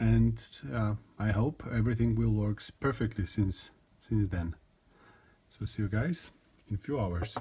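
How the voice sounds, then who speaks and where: A man with a non-native accent, fairly low pitch and ordinary pitch variation, a dark, mellow, somewhat breathy tone, a fairly slow pace with long, frequent pauses, and a very clean recording with a silent background. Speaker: gun hobbyist video maker. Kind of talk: tutorial. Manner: halting, many fillers and repetitions.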